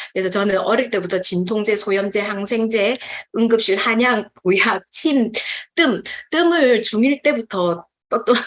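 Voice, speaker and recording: Speaking at a moderate pace, a woman uses lively intonation and a fairly high pitch. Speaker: nutrition supplement business speaker. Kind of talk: testimony.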